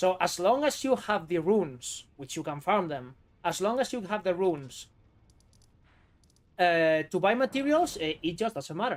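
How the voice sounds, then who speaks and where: On a very clean recording with a silent background, a man with a strong Spanish accent speaks in a high voice at a moderate pace, his pitch swinging very widely, with long, frequent pauses. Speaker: gaming streamer. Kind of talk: live gameplay stream commentary. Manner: casual, animated.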